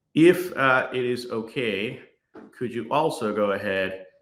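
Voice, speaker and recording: A man's voice with audible room echo. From Guyana, Berbice. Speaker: tech executive and inventor. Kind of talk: conference talk with live demo.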